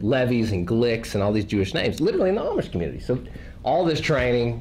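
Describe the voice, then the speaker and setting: In a Tennessee accent, a man with a fairly low pitch talks at a fairly quick pace with very wide pitch swings, amid noticeable background noise and audible room echo. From Tennessee, rural. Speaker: missionary and podcaster. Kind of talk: testimony to a church group. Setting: small group gathering. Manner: casual, conversational.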